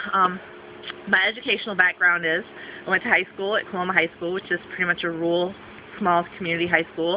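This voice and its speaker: A woman with an American accent talks at a very fast pace in a monotone, flat intonation over noticeable background noise. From Southwestern Michigan, USA. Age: 30s. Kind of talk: casting video talk to camera.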